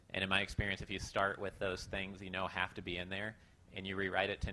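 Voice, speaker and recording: A man talks at a very fast pace with a very deep, low pitch. His tone is bright and sharp, and his intonation is monotone and flat. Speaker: panel moderator. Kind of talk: moderated panel discussion. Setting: stage with audience.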